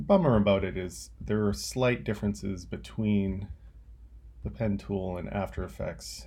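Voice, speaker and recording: A man with a very deep, low pitch and a dark, mellow tone talks at a fairly slow pace, with vocal fry and very wide pitch swings. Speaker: teacher. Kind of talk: tutorial. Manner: casual.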